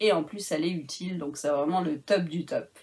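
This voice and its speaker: A woman's medium-pitched voice at a moderate pace with ordinary pitch variation, set against noticeable background noise. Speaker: crafting YouTuber. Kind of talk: product review vlog. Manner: hesitant, many fillers.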